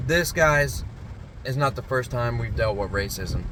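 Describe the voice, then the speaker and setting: A man at a medium pitch and moderate pace, with ordinary pitch variation, audible room echo and noticeable background noise. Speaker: security company owner and vlogger. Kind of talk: personal vlog.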